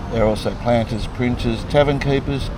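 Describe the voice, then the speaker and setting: Over noticeable background noise and audible room echo, a man with an Australian accent speaks at medium pitch with fairly even intonation. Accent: Australian twang. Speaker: travel vlogger. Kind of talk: travel vlog with reading aloud of signs. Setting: outdoors. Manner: halting, mumbling.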